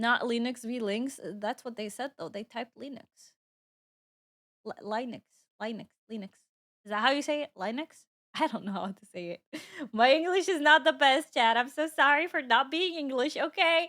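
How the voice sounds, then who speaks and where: A high-pitched woman speaks in a bright, sharp, animated tone with lively intonation and big swings in loudness. Her pace is moderate, broken by long, frequent pauses. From Dubai, UAE. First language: Arabic. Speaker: VTuber streamer. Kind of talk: casual livestream chat. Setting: livestream.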